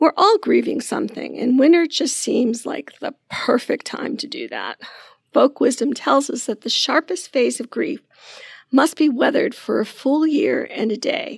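A woman speaks in a high voice with lively intonation. Her loudness swings widely. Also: moderate pace, dry, close sound with no echo. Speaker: nurse practitioner and podcast host. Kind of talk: podcast conversation and reading aloud.

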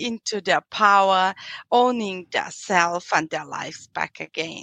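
Against a quiet background, a woman speaks at a medium pitch in a bright, sharp tone. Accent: slight European. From Austria. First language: German. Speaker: psychological counselor and coach. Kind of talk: interview. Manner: halting, many fillers.

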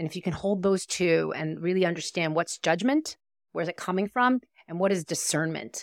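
A woman with an American accent uses an ordinary speaking voice with ordinary pitch variation, in dry, close sound with no echo. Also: fairly low pitch for a woman, fairly quick pace, very clean recording, silent background. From New York, US. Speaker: coach and attorney. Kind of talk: interview, casual conversation. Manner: conversational, reflective, filler words.

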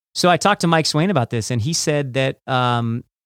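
Recorded very cleanly with a silent background and a dry, close sound with no echo, a man in a normal speaking voice talks at a fairly high pitch and a fairly quick pace with lively intonation. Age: 40s. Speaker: podcast host and former judo champion. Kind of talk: interview.

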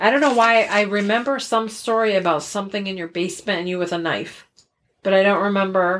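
A woman talks at a fairly quick pace with an American accent and an unremarkable speaking voice. Her medium pitch shows ordinary variation. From Connecticut, US. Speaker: podcast co-host. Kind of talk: casual chat.

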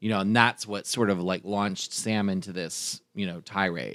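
On a very clean recording with a silent background, a man in an ordinary speaking voice talks with fairly low pitch and ordinary pitch variation, the sound dry and close with no echo. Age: 40s. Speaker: drag performer and event host. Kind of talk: casual chat.

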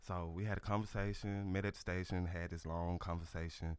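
A man with a Southern US accent, very deep, low pitch, monotone, flat intonation and a moderate pace on a very clean recording with a silent background. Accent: Southern US (Georgia). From US South, Georgia. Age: 40s. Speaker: author and life coach. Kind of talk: radio interview. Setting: radio studio.

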